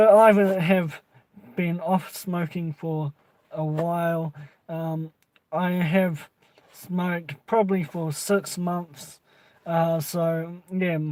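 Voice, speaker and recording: A high-voiced man in a New Zealand accent speaks in a flat monotone, with long, frequent pauses. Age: 20s. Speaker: vape reviewer. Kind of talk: casual vlog chat. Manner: halting, many fillers.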